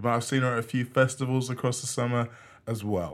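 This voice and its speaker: The recording is very clean, with a silent background. A man with an unremarkable speaking voice talks fairly quickly at a medium pitch. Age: middle-aged. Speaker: podcast host and DJ. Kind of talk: casual interview chat. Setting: studio.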